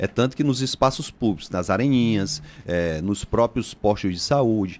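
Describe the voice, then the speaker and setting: The recording is very clean with a silent background. A man with an unremarkable speaking voice talks at a moderate pace with lively intonation. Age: 40s. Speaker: politician, mayoral candidate. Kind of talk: radio interview.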